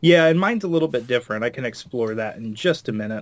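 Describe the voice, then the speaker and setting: In a very clean recording with a silent background, a man with a plain, everyday voice speaks at medium pitch with lively intonation. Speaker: cocktail maker. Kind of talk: casual chat.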